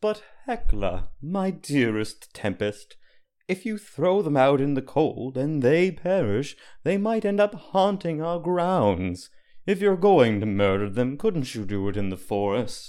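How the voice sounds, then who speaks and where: Putting on a character voice, a man speaks at a fairly slow pace in a fairly high pitch, with very wide pitch swings. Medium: audio drama. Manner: wry, genteel.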